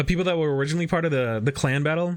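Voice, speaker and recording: Fairly even intonation marks a man speaking with a Michigan accent. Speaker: streamer building model kits. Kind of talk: casual live stream chat while building. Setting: live stream.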